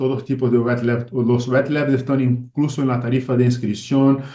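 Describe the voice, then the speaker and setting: With audible room echo around him, a man in a Portuguese accent speaks at a medium pitch in a flat monotone. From Brazil. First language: Portuguese (speaking Spanish). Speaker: ophthalmologist. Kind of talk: lecture. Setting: video call. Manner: halting.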